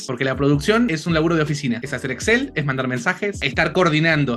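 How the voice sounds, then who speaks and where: Over music in the background, a man with an Argentine accent and a fairly high voice talks at a very fast pace. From Argentina. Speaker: voice actor. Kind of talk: interview answer.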